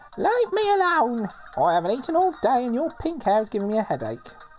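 In a cartoonish character voice, a female-sounding speaker talks very fast with a high pitch and very wide pitch swings, over clear background noise. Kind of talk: comic cartoonish voice. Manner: irritable, silly.

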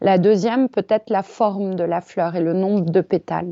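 At a fairly slow pace, a woman talks in a medium pitch. Her intonation stays fairly even. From Paris, France. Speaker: yoga teacher. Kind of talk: casual interview. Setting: remote call. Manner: hesitant, many fillers.

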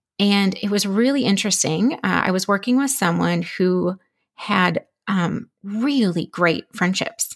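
In an American accent, a woman with a normal speaking voice talks at a fairly slow pace, keeping her loudness very even and her pitch variation ordinary. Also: medium pitch for a woman. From Minnesota. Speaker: friendship coach and podcaster. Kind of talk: podcast interview.

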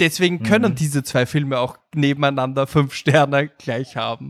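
An ordinary speaking voice with ordinary pitch variation moves at a fairly slow pace, in a very clean recording with a silent background that is dry and close with no echo. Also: man. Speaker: film podcaster. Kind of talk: casual chat.

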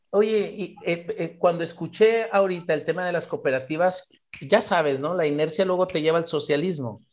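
This man speaks with a high pitch and ordinary pitch variation against a quiet background. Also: moderate pace. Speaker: radio host, therapist. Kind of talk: radio interview. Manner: repetitive stammering.

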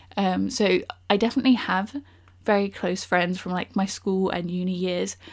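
With a southern English accent, a woman speaks at a medium pitch. Her pace is moderate and her intonation fairly even. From southern England, Bournemouth. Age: 20s. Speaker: podcast host. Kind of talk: casual solo podcast monologue.

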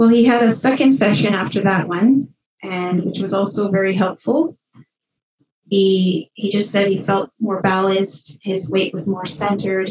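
A woman with an ordinary speaking voice talks at a medium pitch. Her pace is moderate, with ordinary pitch variation. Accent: Canadian. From northwestern Ontario, Canada. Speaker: kinesiologist. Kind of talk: interview.

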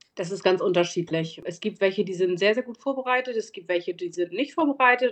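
A woman talks at a fairly quick pace, her medium-pitched voice lively in intonation. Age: 40s. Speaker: bank advisor for medical professionals. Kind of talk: interview. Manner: some hesitation fillers.

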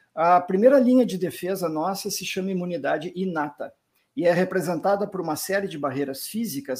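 A high-pitched man with a southern Brazilian accent, ordinary pitch variation, and a very clean recording with a silent background. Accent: gaúcho Brazilian Portuguese, noticeable. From southern Brazil, Rio Grande do Sul. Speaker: physician, rheumatologist. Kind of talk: interview.

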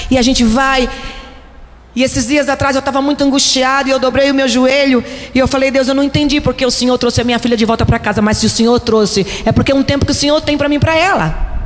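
A woman speaks very fast in a high pitch, with fairly even intonation and very even loudness. Noticeable background noise runs underneath. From Brazil, Recife. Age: 50s. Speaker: pastor. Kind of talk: sermon.

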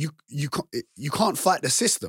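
Somewhat breathy and animated, a man with a fairly high pitch speaks in a passionate tone at a moderate pace. The sound is dry and close with no echo. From England, council estate, Kurdish-Turkish family. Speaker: online fitness coach. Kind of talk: casual chat. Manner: animated, passionate.

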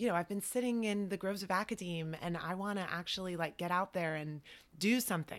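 Speaking fairly quickly, a woman has an unremarkable speaking voice at a medium pitch with ordinary pitch variation. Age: young. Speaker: wine critic. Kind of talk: interview.

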